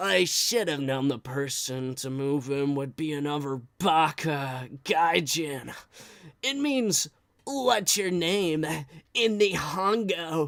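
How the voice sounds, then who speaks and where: A put-on character voice at a middle pitch, very slow in pace. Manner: condescending.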